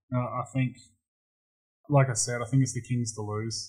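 Fairly even intonation carries this somewhat breathy voice. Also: man. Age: 30s. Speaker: basketball player. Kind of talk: casual chat.

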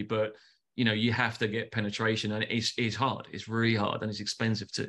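In a London accent, a man speaks fairly quickly at a medium pitch with monotone, flat intonation against a quiet background. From London, England. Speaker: advertising agency founder. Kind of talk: casual interview. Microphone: video call.

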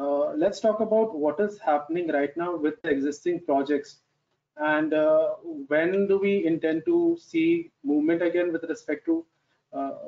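Pitched high for a man, his voice moves at a moderate pace with ordinary pitch variation. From India. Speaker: webinar moderator. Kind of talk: moderating a panel discussion. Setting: video call. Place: home room. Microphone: headset.

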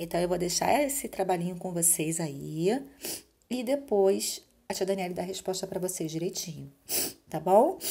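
A woman with a dark, mellow tone speaks at a medium pitch and a moderate pace, with lively intonation and long, frequent pauses. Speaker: school teacher. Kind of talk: recorded remote lesson.

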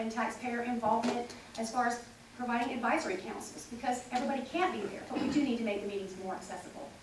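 A woman speaks very fast at a fairly high pitch, with audible room echo and light background noise. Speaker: political candidate. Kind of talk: forum answer. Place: meeting room.

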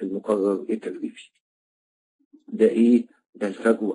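In an Egyptian accent, a man speaks at a very slow pace with long, frequent pauses. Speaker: trainer. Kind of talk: online lecture.

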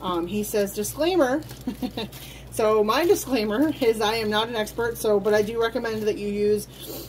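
There is noticeable background noise. A woman speaks over it at a moderate pace. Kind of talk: tutorial. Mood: relaxed, a little hesitant. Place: home room. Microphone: phone near.

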